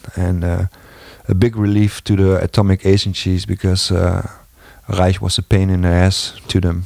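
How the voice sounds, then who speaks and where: A non-native accent in a dark, mellow tone, monotone and flat, at a moderate pace with a dry, close sound and no echo. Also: man. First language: not English. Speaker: video blogger. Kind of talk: casual monologue. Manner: halting.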